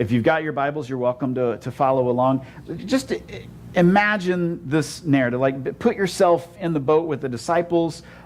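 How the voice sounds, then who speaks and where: Moving at a moderate pace with ordinary pitch variation, the speaker has an unremarkable speaking voice. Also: man, fairly high pitch for a man. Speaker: pastor. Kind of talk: sermon. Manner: conversational, many repeated 'and, and'.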